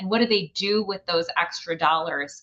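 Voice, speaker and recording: This woman's voice has a bright, sharp tone. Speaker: economist, grand rounds speaker. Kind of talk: lecture.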